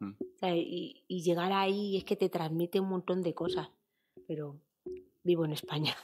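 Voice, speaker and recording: A woman's fairly low voice at a moderate pace, with ordinary pitch variation and a quiet background. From Spain, Fuenlabrada (Madrid); Madrid. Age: 30s. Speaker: footballer; interview guest. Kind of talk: interview. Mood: relaxed, reflective, sometimes emotional. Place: studio. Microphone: studio mic.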